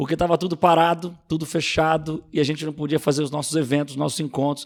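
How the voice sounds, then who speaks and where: A man with a fairly high voice speaks at a very fast pace. His intonation is monotone and flat. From Rio de Janeiro city, Brazil. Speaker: pastor and youth leader. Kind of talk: podcast interview.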